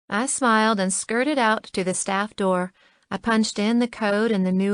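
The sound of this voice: The voice is an unforced reading voice. Its intonation stays fairly even.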